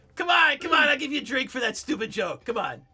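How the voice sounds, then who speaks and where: Cackling in a put-on character voice, the speaker rattles along at a very fast pace and a high pitch. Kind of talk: jovial, coaxing.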